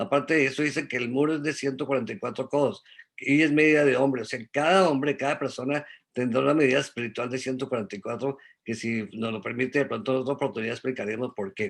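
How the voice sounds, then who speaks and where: Talking at a very fast pace, a man keeps a medium pitch. His pitch variation is ordinary. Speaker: Bible study teacher. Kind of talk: religious study talk.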